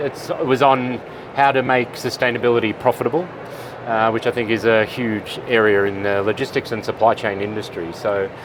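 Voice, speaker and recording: Fairly quick speech in an Australian accent, with noticeable background noise. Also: man. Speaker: supply chain expert, conference keynote speaker. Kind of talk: interview. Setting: conference expo floor.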